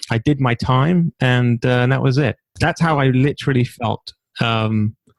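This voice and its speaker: A man with a London accent speaks at very even loudness with ordinary pitch variation, in a dry, close sound with no echo. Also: medium pitch for a man, moderate pace. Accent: British (London). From London, England (Stamford Hill). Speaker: entrepreneur and author. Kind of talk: interview conversation.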